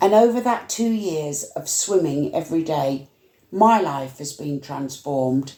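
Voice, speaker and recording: Her tone dark and mellow, a woman speaks at a very slow pace with lively intonation. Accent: West Yorkshire. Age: 70s. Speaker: community activist. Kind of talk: casual chat.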